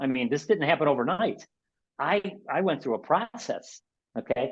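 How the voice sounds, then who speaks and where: With a Chicago accent, a man speaks in a fairly high pitch at a moderate pace, his intonation lively. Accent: Chicago American. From Chicago, South Side. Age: 60s. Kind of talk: webinar talk. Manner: animated, repetitive self-corrections.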